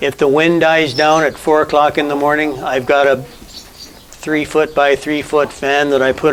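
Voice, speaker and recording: The voice moves at a moderate pace with hardly any pauses. Its intonation is monotone and flat. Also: man. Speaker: rabbit breeder, farmer. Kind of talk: interview answer on farm tour.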